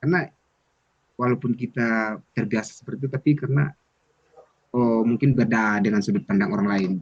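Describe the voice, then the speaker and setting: A man speaks at a very fast pace in a medium pitch with ordinary pitch variation, leaving long, frequent pauses. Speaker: student mentor. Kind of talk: casual chat.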